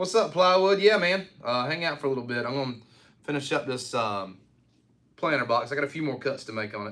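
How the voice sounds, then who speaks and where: Here a man talks at a fairly quick pace with a Southern US accent. His pitch is fairly high and his intonation lively. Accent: Southern country. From eastern North Carolina (Rocky Mount). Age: 30s. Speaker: woodworking livestreamer. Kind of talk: casual livestream chat while woodworking.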